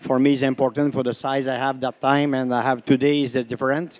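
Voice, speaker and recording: Flat and monotone, the man's voice sits at a fairly high pitch. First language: French. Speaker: dairy cattle breeder. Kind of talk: panel discussion answer. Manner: halting.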